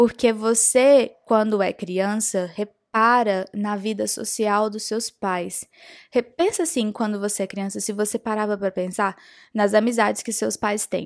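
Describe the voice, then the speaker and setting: A woman with an ordinary speaking voice talks at a fairly slow pace and a fairly high pitch, keeping a fairly even intonation. The recording is very clean, with a silent background. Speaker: podcast host on spirituality and self-knowledge. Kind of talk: casual monologue. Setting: podcast recording.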